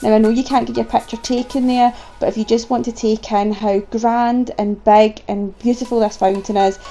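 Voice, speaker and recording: With a Scottish accent, a woman speaks at a moderate pace with hardly any pauses. Music is playing in the background. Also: fairly high pitch for a woman. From Scotland. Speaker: travel vlogger. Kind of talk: vlog narration. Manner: animated.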